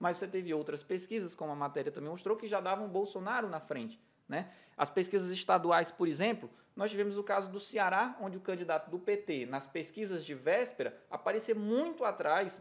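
A man talks in a high pitch at a fairly quick pace. His intonation is lively. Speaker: polling institute director and political scientist. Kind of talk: televised panel debate. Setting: studio. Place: studio. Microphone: studio mic.

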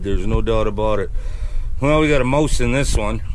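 Light background noise accompanies a man talking at a fairly quick pace. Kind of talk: casual vlog chat. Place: open country. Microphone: camera far.

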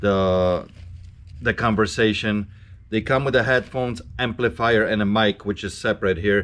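This man has an unremarkable speaking voice, fairly low in pitch, with ordinary pitch variation. He speaks at a moderate pace. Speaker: reseller shop owner. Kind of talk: casual vlog chat. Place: shop. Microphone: camera far.

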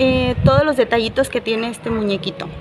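A woman speaks with noticeable background noise behind her. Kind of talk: casual vlog chat showing a handmade item. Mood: playful, animated. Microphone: lapel.

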